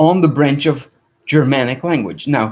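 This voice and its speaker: Fairly high-pitched and fairly slow, a man speaks with a Dutch accent. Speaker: rabbi and language teacher. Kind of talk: lecture.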